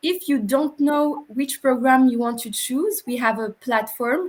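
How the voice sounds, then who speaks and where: Here a woman speaks with a high pitch. Noticeable background noise is present. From Morocco. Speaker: former international student. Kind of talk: interview / panel talk. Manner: hesitant, many fillers.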